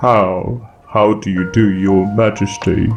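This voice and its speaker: Clear music plays behind a man doing a put-on character voice. He speaks fairly low and fairly slowly, in a monotone, flat delivery. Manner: slow, strange.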